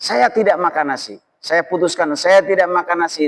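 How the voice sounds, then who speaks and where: Dry and close with no echo, a man's high voice carries ordinary pitch variation. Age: 40s. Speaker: Islamic preacher. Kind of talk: religious lecture. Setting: mosque gathering. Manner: casual, conversational.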